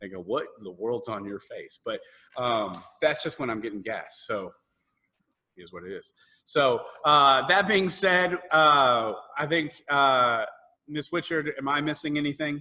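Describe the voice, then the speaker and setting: Speaking in a Southern US accent at a fairly slow pace, a man has a fairly high pitch and a bright, sharp tone. His pitch swings very widely and his loudness swings a lot. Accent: US South. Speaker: choir director. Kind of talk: virtual parent meeting. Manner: animated.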